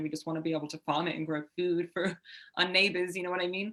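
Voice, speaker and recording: With an English accent, a woman speaks in a fairly low voice. Her pace is fairly quick. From Southwest England. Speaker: urban farmer. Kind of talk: interview.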